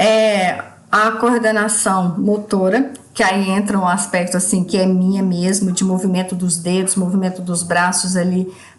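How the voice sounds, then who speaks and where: A woman speaks at a medium pitch and a fairly slow pace, her intonation monotone and flat. Her loudness stays very even, and room echo is audible. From Brazil, Minas Gerais (Ituiutaba). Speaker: teacher. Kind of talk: recorded course assignment presentation.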